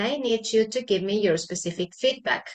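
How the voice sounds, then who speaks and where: In a Spanish accent, a woman speaks with lively intonation at a fairly high pitch. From Argentina. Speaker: English teacher. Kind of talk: tutorial. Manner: halting.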